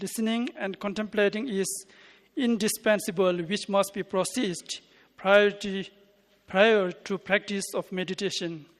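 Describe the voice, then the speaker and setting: The pace is neither fast nor slow. This talker has a non-native accent. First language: not English. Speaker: conference presenter. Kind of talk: paper reading. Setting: conference. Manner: halting.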